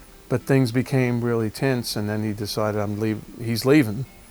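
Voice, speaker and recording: Music plays in the background. A man talks over it at a fairly quick pace. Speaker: rock drummer. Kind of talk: interview answer. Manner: casual, conversational.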